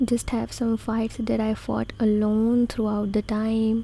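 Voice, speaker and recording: This soft-spoken, somewhat breathy voice has a dark, mellow tone and a monotone, flat intonation. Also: woman. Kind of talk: ASMR comforting talk.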